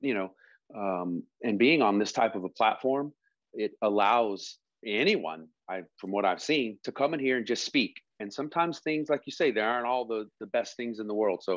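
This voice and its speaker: Over a quiet background, a man speaks at a moderate pace with lively intonation, the sound dry with no echo. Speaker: podcast co-host. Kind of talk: casual podcast talk. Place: home room. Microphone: earbuds.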